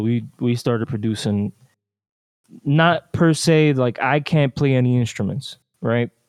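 A man with an American accent has an unremarkable speaking voice, pitched at medium with ordinary pitch variation. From New Jersey / New York and Dominican Republic. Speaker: musician. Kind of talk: interview.

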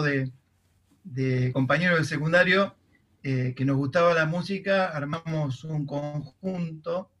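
Fairly even intonation carries speech delivered very slowly. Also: man. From Argentina, southern Santa Fe province. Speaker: composer and music teacher. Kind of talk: interview. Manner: halting.

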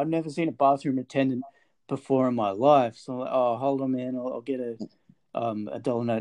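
Speaking at a fairly quick pace, this man has an Australian accent, a medium pitch and fairly even intonation. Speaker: podcast host, bar worker. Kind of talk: casual chat.

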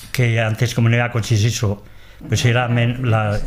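The voice moves at a moderate pace in a monotone, flat intonation. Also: man. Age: old. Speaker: transhumant shepherd. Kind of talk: interview. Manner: halting.

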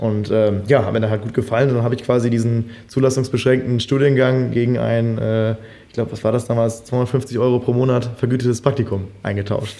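At a moderate pace, the speaker uses fairly even intonation in an unremarkable speaking voice. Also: man. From Germany, Münsterland. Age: 20s. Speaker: freelance filmmaker. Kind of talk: casual chat.

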